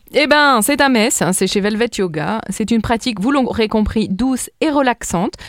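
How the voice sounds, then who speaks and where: At a moderate pace, a woman with a fairly high pitch speaks with very wide pitch swings. The sound is dry and close with no echo, in a very clean recording with a silent background. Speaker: radio host. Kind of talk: radio events segment. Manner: put-on sensual voice.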